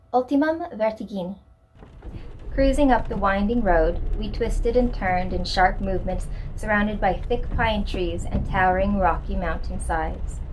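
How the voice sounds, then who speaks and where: Against noticeable background noise and audible room echo, a woman speaks at a moderate pace, her medium pitch showing ordinary variation. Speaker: horror story writer and narrator. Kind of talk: reading aloud; casual chat. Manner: casual with fillers.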